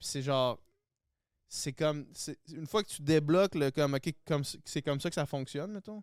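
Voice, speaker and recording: In a Quebec accent, a man talks at a moderate pace with a fairly high pitch and ordinary pitch variation. His loudness swings widely in a very clean recording with a silent background. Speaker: guest, former reality TV contestant. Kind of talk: casual chat.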